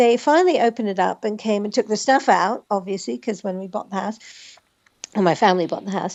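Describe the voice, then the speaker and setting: A woman with an American accent and a fairly high pitch, at a fairly quick pace. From US Northwest, Spokane, Washington. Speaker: author and actress. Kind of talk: casual chat.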